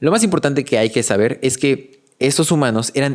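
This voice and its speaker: This man has an ordinary speaking voice with ordinary pitch variation. He talks at a moderate pace on a very clean recording with a silent background. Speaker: educational content creator summarizing books. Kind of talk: podcast-style book summary.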